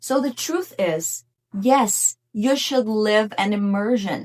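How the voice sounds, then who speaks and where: A woman with a Portuguese accent speaks very slowly in a fairly high pitch with lively intonation. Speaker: English teacher. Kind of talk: tutorial.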